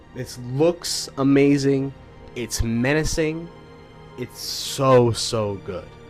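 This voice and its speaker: With music in the background, a man at medium pitch talks at a very slow pace with ordinary pitch variation. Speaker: YouTube commentator. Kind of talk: casual talk to camera.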